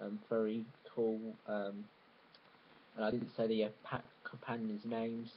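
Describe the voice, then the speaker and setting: A man's flat, monotone delivery at a fairly slow pace, with light background noise. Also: medium pitch for a man. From Cambridge, England. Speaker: YouTuber. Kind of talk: casual vlog talk. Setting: home video recording. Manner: halting. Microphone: webcam.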